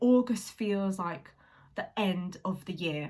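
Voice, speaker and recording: Somewhat breathy, a woman talks at a very slow pace with lively intonation. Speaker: singer-songwriter vlogger. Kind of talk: casual vlog talk. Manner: hesitant, many fillers.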